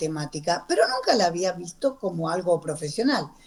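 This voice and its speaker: A woman's voice over noticeable background noise. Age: 60s. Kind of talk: radio interview.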